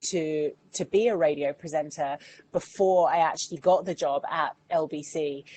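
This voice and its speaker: A woman with an English accent speaks at a fairly low pitch. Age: 40s. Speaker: radio presenter and campaigner. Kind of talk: online Q&A masterclass.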